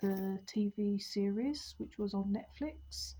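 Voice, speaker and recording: Breathing somewhat audibly, a woman at a medium pitch speaks very slowly in a dark, mellow tone. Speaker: book reviewer. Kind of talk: casual video book review. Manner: hesitant, many ums.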